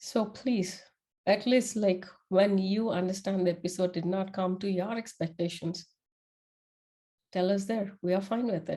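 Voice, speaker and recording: Speaking at a moderate pace with a non-native accent, a woman has a dark, mellow tone and fairly even intonation. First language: not English. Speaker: podcast host. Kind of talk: casual monologue. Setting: before a camera.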